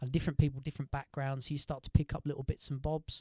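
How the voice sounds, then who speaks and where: Dry and close with no echo, the sound captures a man at medium pitch. His tone is dark and mellow. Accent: Essex. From Essex, England. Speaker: musician in a rock band. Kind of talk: casual chat.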